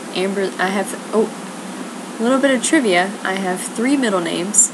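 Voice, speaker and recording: Quiet and at a moderate pace, a woman with an American accent speaks in a room with audible echo and noticeable background noise. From US South. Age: young. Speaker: video blogger. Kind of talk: casual monologue. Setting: at home, others asleep.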